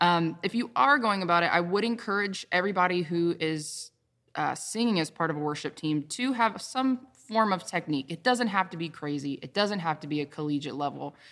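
In a very clean recording with a silent background, a woman with an American accent talks fairly quickly in a normal speaking voice, fairly low in pitch, with lively intonation. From US South, the Carolinas. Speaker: worship leader and vocalist. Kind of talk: casual chat.

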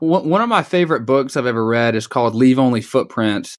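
Speaking at a fairly quick pace, a man with a medium pitch talks in a Southern US accent. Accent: Southern American. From US South (Dalton, Georgia). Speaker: podcast host. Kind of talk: interview conversation.

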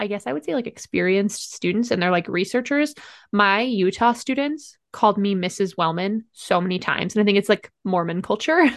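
Against a quiet background, a woman with an American accent talks at a moderate pace and medium pitch, using ordinary pitch variation in a plain, everyday voice. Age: 20s. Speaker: professor and podcast co-host. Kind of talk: casual chat.

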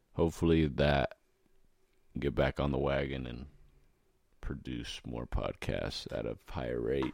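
Marked by vocal fry, the voice moves at a fairly slow pace with long, frequent pauses. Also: man, very deep, low pitch for a man. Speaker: podcast host. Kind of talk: casual chat.

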